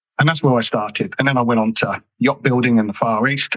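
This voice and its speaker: A man speaks with a southern English accent. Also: dry, close sound with no echo. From southern England. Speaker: whisky brand ambassador. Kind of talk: podcast interview.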